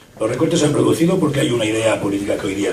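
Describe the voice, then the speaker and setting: Over noticeable background noise and audible room echo, a man rattles along at a very fast pace. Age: 60s. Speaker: retired doctor and former health administrator giving a talk. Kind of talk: public talk. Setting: public event with audience.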